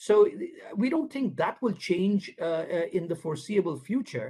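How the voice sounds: Pitched high, a man speaks at a moderate pace with big pitch swings, a slightly husky edge and a slightly mellow tone.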